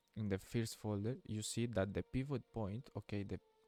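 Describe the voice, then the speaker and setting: A man speaks with a non-native accent at a fairly low pitch. Music plays in the background. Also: dry, close sound with no echo. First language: Spanish. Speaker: gaming youtuber. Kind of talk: tutorial. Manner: halting.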